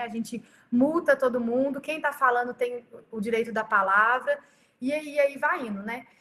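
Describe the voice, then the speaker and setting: Here a woman speaks with a high pitch. Her pitch variation is ordinary. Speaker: pastor. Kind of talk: leadership training talk. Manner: fast.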